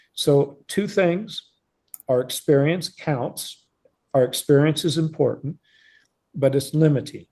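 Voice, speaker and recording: With long, frequent pauses, a man speaks at a very slow pace in a dark, mellow, somewhat breathy tone with ordinary pitch variation. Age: 70s. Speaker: professor. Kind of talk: lecture. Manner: halting.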